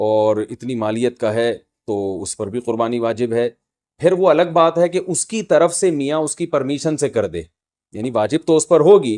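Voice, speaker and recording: A man speaks at a medium pitch, his voice swinging very widely up and down. The recording is very clean with a silent background, dry and close with no echo. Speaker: Islamic scholar giving a lecture. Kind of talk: religious lecture on Qurbani rulings. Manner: explanatory, lecture style.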